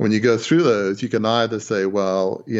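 Pitch variation in this man's speech is ordinary. He keeps a moderate pace. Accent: Australian. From Australia. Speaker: former newspaper proprietor. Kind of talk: interview. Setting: phone call. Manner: halting.

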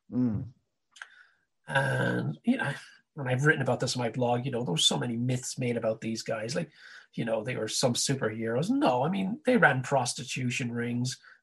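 With an Irish accent, a man talks at a moderate pace and medium pitch, showing ordinary pitch variation and some vocal fry. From Ireland. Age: 50s. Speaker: karate teacher and international educator. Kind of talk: casual chat. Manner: animated.

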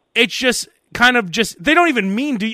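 A man's raised, projected voice with a bright, sharp tone races along at a very fast pace with lively intonation, in a very clean recording with a silent background. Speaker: podcast host. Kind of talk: casual comedic banter; mock radio DJ patter, comedic bit. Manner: joking, bantering.

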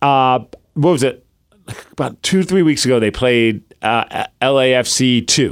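A man with a medium pitch, talking at a fairly slow pace, with ordinary pitch variation and very even loudness. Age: 40s. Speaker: podcast co-host. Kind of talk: casual chat. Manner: animated.

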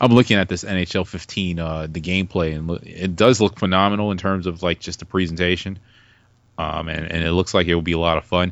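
A man with an American accent, very deep and low in pitch, at a very fast pace with fairly even intonation. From New York, Brooklyn. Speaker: podcaster. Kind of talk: casual chat.

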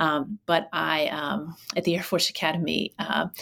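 The voice has vocal fry and a monotone, flat intonation. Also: woman. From Pittsburgh, Pennsylvania. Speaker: former college president. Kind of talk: interview. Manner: many fillers and restarts.

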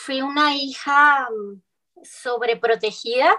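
A woman talks at a high pitch. Her pitch variation is ordinary. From northern Mexico, Cuauhtémoc, Chihuahua. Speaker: singer-songwriter. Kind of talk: interview.

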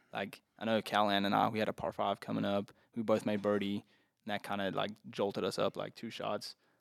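In a very clean recording with a silent background, a man talks at a fairly quick pace in a fairly low pitch, his monotone, flat intonation edged with vocal fry. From South Africa, Port Elizabeth. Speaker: college golfer. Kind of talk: casual chat.

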